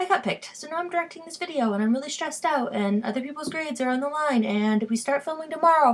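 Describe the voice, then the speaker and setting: Amid noticeable background noise, a woman speaks very fast, her pitch swinging very widely. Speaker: vlogger. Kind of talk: casual vlog monologue. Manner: hesitant, many fillers; fast, rising pitch when stressed.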